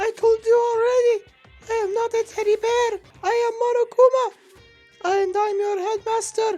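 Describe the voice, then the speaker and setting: A put-on character voice pitched extremely high holds a monotone, flat intonation. It moves at a moderate pace over faint music in the background. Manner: indignant.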